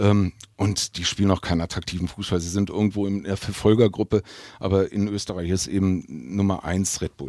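Fairly quick and fairly even in intonation, a man speaks in a very deep, low pitch with a dark, mellow tone. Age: 50s. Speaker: football club heritage official. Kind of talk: casual interview. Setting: basement fan room.

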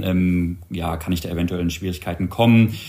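A somewhat breathy man at a moderate pace, with ordinary pitch variation and audible room echo. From Berlin, Germany (Wedding). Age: 30s. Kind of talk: casual chat.

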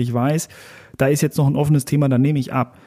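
This man's voice sits at a fairly high pitch, with a dark, mellow tone and fairly even intonation. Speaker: sales podcast co-host. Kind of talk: casual chat. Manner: monotone. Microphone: very close to the mic.

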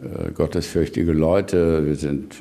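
This man has a very deep, low voice with vocal fry and a dark, mellow tone, speaking at a fairly slow pace with ordinary pitch variation. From Lower Rhine, western Germany (Neukirchen-Vluyn). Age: 70s. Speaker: politician and farmer. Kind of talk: radio interview. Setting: on his farm. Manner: hesitant, many fillers.

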